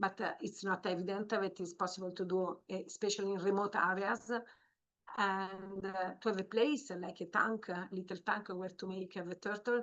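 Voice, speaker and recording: A woman's medium-pitched voice with an Italian accent and fairly even intonation. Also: moderate pace. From Italy. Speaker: marine biologist. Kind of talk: training webinar. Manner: halting, many fillers.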